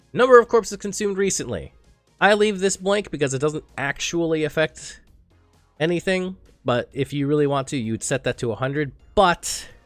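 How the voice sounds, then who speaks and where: Over music in the background, a man talks at a moderate pace in a fairly high pitch. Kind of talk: game tutorial narration. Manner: casual.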